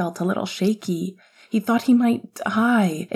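An unforced reading voice, its pitch shifting in an ordinary manner

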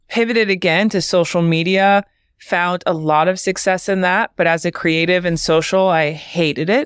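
Moderate pace and fairly even intonation from an unremarkable speaking voice. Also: woman, fairly low pitch for a woman. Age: 30s. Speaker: creative agency founder. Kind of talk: interview.

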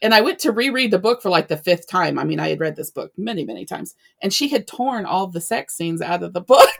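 Talking at a very fast pace with hardly any pauses, a woman uses lively intonation, a medium pitch and vocal fry. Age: 40s. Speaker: romance author. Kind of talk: casual interview chat.

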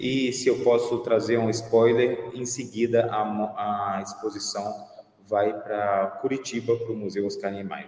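The speech comes at a fairly slow pace in a monotone, flat intonation. Audible room echo and noticeable background noise are present. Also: man, medium pitch for a man. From Brazil, Minas Gerais (Belo Horizonte). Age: 40s. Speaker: pianist and curator. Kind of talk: interview. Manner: halting, many repetitions.

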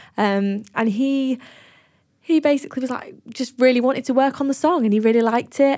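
Speaking in a Lincolnshire accent, a woman keeps a fairly quick pace and fairly even intonation. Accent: northern English (Lincolnshire). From northern England, Grimsby. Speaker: singer-songwriter and producer. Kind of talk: casual interview chat.

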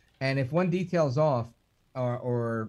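A man with a plain, everyday voice, medium pitch and ordinary pitch variation. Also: quiet background. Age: 40s. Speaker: radio talk show host. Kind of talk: casual chat. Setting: video call.

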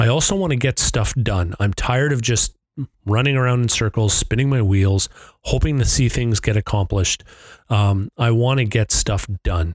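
A man speaks in an ordinary speaking voice at medium pitch and a moderate pace, with ordinary pitch variation and very even loudness, in a very clean recording with a silent background and a dry, close sound with no echo. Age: 50s. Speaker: podcast host. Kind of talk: solo monologue. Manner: casual, with filler words.

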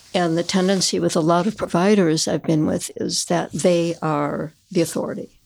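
A woman with a plain, everyday voice, fairly low in pitch, with fairly even intonation and hardly any pauses, in a very clean recording with a silent background. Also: moderate pace. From Chicago area, US Midwest. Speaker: patient. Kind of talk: casual interview.

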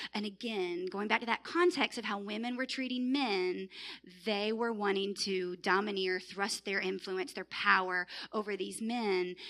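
Bright, sharp female voice, normal rise and fall in pitch. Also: medium pitch for a woman, moderate pace. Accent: Southern US. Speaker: church group leader. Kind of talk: panel-style dialogue in Bible study.

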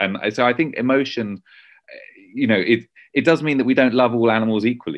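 A man with a British accent, fairly quick, with ordinary pitch variation. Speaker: journalist and author. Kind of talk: interview.

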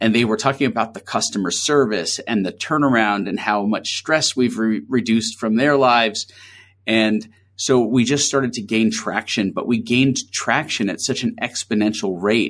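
In a very clean recording with a silent background, a man speaks at a moderate pace and medium pitch with ordinary pitch variation. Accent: American. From New York City (Queens). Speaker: agency founder. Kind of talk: interview.

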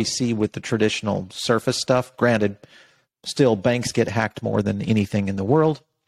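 A man with a normal speaking voice talks at a medium pitch and moderate pace with ordinary pitch variation, captured in a very clean recording with a silent background. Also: dry, close sound with no echo. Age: 50s. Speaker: journalist and media company CEO. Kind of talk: interview.

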